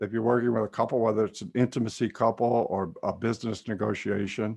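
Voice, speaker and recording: A plain, everyday voice with ordinary pitch variation, at a fairly quick pace. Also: man. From California. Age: 60s. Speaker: psychotherapist and trance teacher. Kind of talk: webinar lecture and Q&A. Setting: video call.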